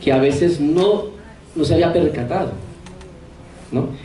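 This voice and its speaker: A man speaks at a fairly high pitch with ordinary pitch variation. Room echo is audible, and background noise is noticeable. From Colombia, Santander. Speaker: priest. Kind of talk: lecture.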